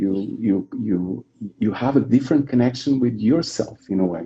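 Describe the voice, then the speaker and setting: With a Portuguese accent, a man speaks at a moderate pace in a dark, mellow tone of medium pitch, with lively intonation. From Portugal. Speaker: yoga teacher. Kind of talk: casual conversation. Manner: repetitive, halting.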